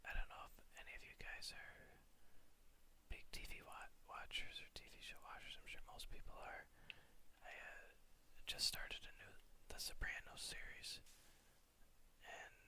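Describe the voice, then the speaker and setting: Whispered speech broken up by long, frequent pauses. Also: moderate pace. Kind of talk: soft-spoken gaming commentary. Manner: soft-spoken.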